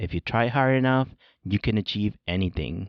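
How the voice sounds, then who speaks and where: At a fairly quick pace, a man with a Spanish accent speaks at medium pitch for a man with ordinary pitch variation. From born in Mexico, grew up in California and Chicago. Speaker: podcast host, education professor. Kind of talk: scripted narration. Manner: formal.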